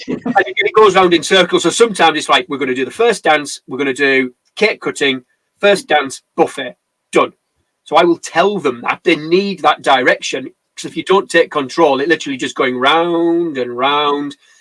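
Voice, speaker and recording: At a moderate pace, a man with an English accent speaks in a fairly high pitch with ordinary pitch variation and a dry, close sound with no echo. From England. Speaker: wedding photographer. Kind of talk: casual chat. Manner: animated.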